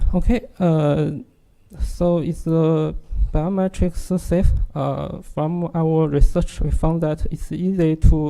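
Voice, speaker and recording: The pace is very slow. The speaker has a strong Chinese accent. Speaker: security researcher. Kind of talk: technical presentation. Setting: workshop audience. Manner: halting, many fillers.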